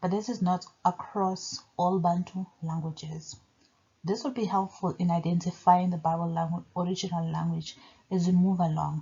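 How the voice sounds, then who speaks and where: A woman's fairly low, somewhat breathy voice at a moderate pace, with fairly even intonation. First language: Zulu. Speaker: religion commentator. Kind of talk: video monologue.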